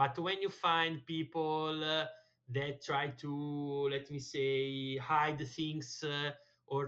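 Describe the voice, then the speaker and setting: Speaking very slowly, a man with an Italian accent keeps a monotone, flat intonation. His pitch is fairly high. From Italy. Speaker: language learner, tech account manager. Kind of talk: conversation lesson with tutor. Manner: halting with many fillers.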